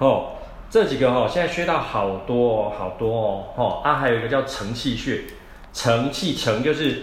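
A man with a Taiwanese accent, medium pitch, moderate pace and ordinary pitch variation, amid noticeable background noise and audible room echo. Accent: Taiwanese Mandarin. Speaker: traditional Chinese medicine doctor and podcast host. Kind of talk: solo health podcast talk. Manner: casual, many filler particles.

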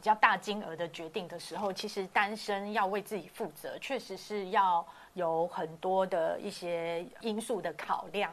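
Speaking at a fairly slow pace, a woman with a medium pitch shows big swings in loudness. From Taiwan, Hakka background. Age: 40s. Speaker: hotel industry worker. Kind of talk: casual chat. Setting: online livestream. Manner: animated, laughs often.

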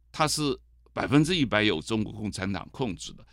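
Recorded very cleanly against a silent background, a man with a fairly low pitch speaks with lively intonation. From mainland China. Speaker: author and TV host, political commentator. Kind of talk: interview. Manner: hesitant, many fillers.

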